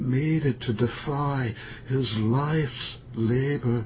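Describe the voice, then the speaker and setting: Noticeable background noise sits behind a man speaking in a solemn tone at a very slow pace. His pitch is medium and his intonation fairly even. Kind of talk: poetry reading, poem performed aloud. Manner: slow, measured, contemplative; solemn, reflective, somber.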